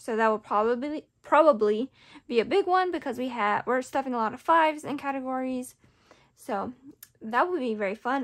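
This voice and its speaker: With a quiet background, a woman talks at a moderate pace in a high pitch, with ordinary pitch variation. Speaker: budgeting vlogger. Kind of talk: casual vlog chat.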